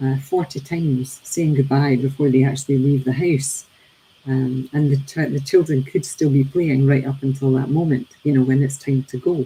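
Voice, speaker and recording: A woman with a Scottish accent, very deep and low in pitch, somewhat breathy and dark, mellow in tone, monotone and flat at a moderate pace. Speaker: teacher and daily reading presenter. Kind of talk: reflective talk on a daily reading. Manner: hesitant, many fillers.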